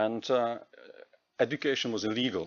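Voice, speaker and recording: The speaker is a man with a Czech accent. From Czech Republic. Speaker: EU program official. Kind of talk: presentation. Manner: halting.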